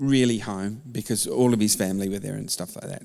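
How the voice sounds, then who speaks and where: Man with an Australian accent. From Melbourne, Australia (born London, Turkish Cypriot parents). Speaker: church member sharing faith story. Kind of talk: testimony interview.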